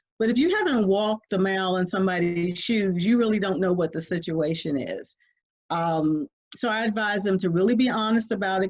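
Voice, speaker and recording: A woman's ordinary speaking voice at a medium pitch, fairly quick, with ordinary pitch variation and a quiet background. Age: 60s. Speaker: family caregiver. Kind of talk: interview.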